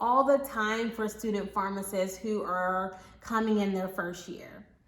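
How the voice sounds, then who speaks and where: A woman speaks with audible room echo. Noticeable background noise runs behind her. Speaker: pharmacy professor and YouTuber. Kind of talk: casual vlog Q&A. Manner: conversational, many fillers.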